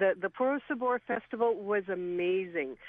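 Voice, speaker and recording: A woman has an unremarkable speaking voice at a medium pitch. Her intonation is lively and her pace moderate. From Saskatchewan, Canada. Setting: phone call.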